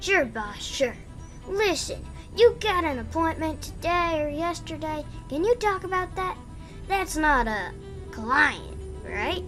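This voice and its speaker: A put-on character voice speaks at a fairly slow pace, with long, frequent pauses and clear music in the background. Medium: audio drama. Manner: casual, chummy, calls everyone boss.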